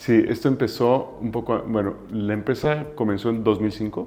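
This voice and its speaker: A man in a Mexican accent, fairly slow, with a dark, mellow tone. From Mexico. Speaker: business founder. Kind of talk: interview. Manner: halting.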